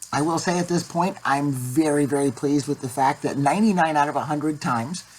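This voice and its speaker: A woman's very deep, low voice at a fairly quick pace over noticeable background noise. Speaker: vlogger sharing voice surgery update. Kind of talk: casual vlog update.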